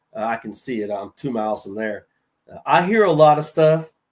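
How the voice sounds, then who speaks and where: In a Southern accent, a man speaks at a fairly high pitch with lively intonation. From North Carolina. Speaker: HVAC sales veteran. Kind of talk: casual chat.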